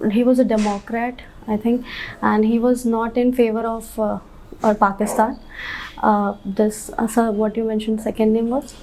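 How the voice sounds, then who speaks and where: Delivered at a moderate pace, the speech has a monotone, flat intonation. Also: woman. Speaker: civil service candidate. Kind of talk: job interview. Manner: halting.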